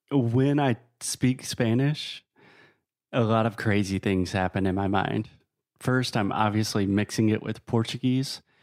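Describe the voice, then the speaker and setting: A man with an American accent speaks in a normal speaking voice, fairly low in pitch, at a fairly slow pace with fairly even intonation. The recording is very clean, with a silent background. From US South. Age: 30s. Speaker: podcaster and entrepreneur. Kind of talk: casual interview chat.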